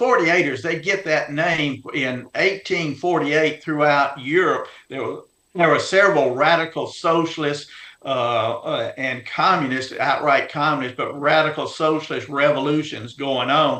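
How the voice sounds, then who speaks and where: A man with a Louisiana accent, fairly high in pitch, bright and sharp in tone, at a moderate pace. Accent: US Southern (Louisiana). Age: 70s. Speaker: heritage organization leader and author. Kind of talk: interview. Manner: halting, many fillers.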